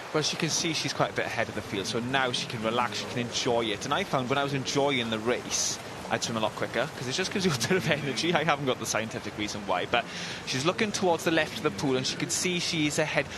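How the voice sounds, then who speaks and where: The speech comes at a very fast pace with lively intonation. Noticeable background noise can be heard. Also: man, medium pitch for a man. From South Wales Valleys. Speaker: former swimmer, co-commentator. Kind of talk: live commentary. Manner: sing-songy.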